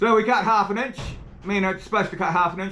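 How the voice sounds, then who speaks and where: Speaking very fast in a New Zealand accent, the man has a high pitch and fairly even intonation. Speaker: tool reviewer, video creator. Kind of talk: product review demo.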